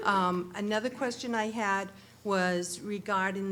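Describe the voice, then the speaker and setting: Audible room echo surrounds a woman's voice. She speaks at a medium pitch with ordinary pitch variation. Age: younger than 68. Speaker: resident asking questions. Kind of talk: public comment. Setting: public meeting room.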